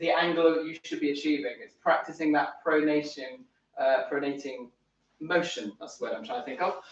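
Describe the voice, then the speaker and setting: This man speaks with a northern English accent. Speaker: tennis coach. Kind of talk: tutorial. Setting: live stream at home. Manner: animated.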